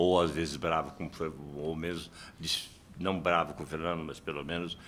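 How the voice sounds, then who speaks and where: The tone is bright and sharp, with vocal fry. The intonation stays monotone and flat. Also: man. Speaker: philosophy professor. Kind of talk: heated debate.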